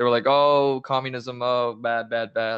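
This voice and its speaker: A man speaks at a medium pitch with a Spanish accent. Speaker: social media account creator. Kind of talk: casual chat.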